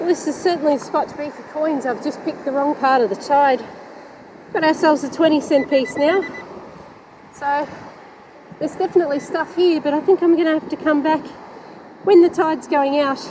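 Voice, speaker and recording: With an Australian accent, a woman speaks at a fairly quick pace in a high voice, leaving long, frequent pauses against noticeable background noise. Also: ordinary pitch variation. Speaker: metal detecting YouTuber. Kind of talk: casual vlog narration. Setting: outdoors on a beach. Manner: animated; fast.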